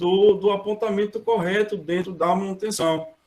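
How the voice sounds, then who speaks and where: The man's voice is high-pitched and shows typical pitch movement. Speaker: maintenance planning engineer, guest speaker. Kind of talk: online lecture.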